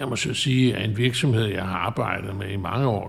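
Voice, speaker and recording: A man with a fairly low pitch speaks with ordinary pitch variation. His voice sounds somewhat breathy. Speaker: chartered accountant and adjunct professor. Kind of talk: interview. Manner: halting.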